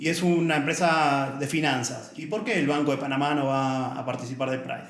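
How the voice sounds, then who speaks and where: Over noticeable background noise, a man with an Argentine accent speaks at a fairly quick pace and a fairly high pitch with fairly even intonation. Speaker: author and diversity advocate, former accountant. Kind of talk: casual podcast interview.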